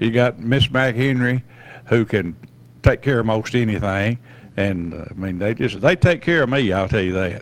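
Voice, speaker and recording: This voice has an easygoing moderate pace with a Southern US accent. The intonation is lively. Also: man, medium pitch for a man. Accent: Southern American. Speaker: retired school principal. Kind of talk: casual chat.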